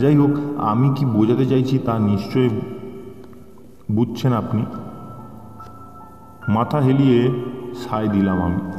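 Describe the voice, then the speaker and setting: Music plays in the background. The loudness stays very even. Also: man. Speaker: audio story narrator. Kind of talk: thriller audio story reading.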